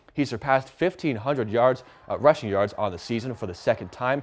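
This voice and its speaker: Music plays in the background as the man talks at a fairly quick pace. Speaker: sports anchor and reporter. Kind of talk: TV sports news report.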